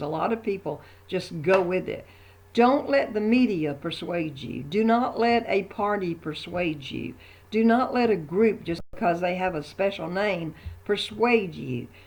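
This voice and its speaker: A woman speaks at medium pitch and a moderate pace, with vocal fry. Her intonation is lively. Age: 70s. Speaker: religious video blogger. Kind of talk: opinion monologue. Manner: hesitant, with fillers.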